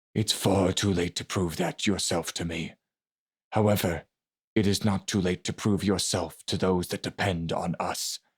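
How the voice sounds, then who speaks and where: A man performs a put-on character voice at a very deep, low pitch. The recording is very clean, with a silent background. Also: moderate pace. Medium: read story.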